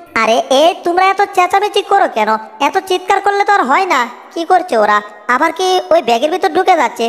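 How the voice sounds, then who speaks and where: A put-on character voice at an extremely high pitch, fairly quick pace, light background noise. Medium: fan dub. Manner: chatty, fussy.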